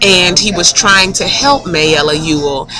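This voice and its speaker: Noticeable background noise behind a woman's fairly low voice with ordinary pitch variation. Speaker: teacher. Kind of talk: recorded classroom instruction screencast. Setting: classroom screencast recording.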